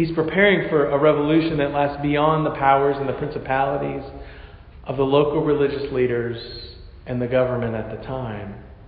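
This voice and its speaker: A fairly high-pitched man at a fairly quick pace, fairly even intonation and big swings in loudness, with audible room echo and noticeable background noise. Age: 40s. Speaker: pastor. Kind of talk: sermon.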